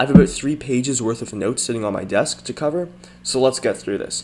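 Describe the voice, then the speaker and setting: Lively intonation moves at a fairly quick pace against noticeable background noise. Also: man. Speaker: gaming youtuber. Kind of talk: game update commentary. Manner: fast.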